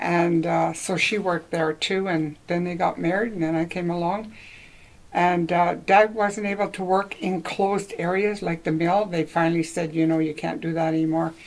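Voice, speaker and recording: In a Canadian accent, a woman speaks at a moderate pace with a fairly low pitch and fairly even intonation. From Northwestern Ontario, Canada. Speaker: local senior interviewee. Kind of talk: oral history interview. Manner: halting.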